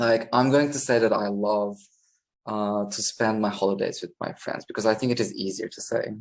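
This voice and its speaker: Speaking with a Turkish accent, a man holds a moderate pace at medium pitch with fairly even intonation. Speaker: English teacher. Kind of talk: tutorial. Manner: natural pace with hesitations.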